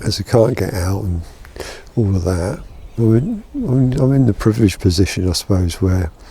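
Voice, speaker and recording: Soft-spoken and fairly low in pitch, a man talks at a fairly slow pace with ordinary pitch variation over noticeable background noise. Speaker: photography vlogger. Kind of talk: casual vlog talk to camera. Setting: outdoors in back garden.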